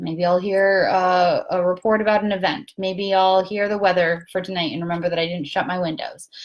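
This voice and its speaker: A woman's ordinary speaking voice, medium in pitch and fairly quick in pace. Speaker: spiritual talk host. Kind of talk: casual livestream talk. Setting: Facebook live from a guest room.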